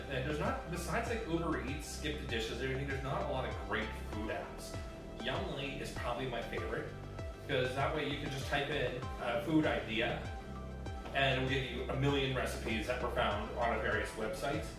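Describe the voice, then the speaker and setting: Speech at a fairly quick pace carries audible room echo, with clear music in the background. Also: man. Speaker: podcast co-host. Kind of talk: casual group chat. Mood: relaxed, joking. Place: home room. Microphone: camera far.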